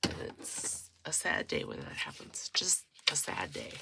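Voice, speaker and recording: A woman is speaking. Her voice is quiet. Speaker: crafting youtuber. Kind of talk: crafting tutorial.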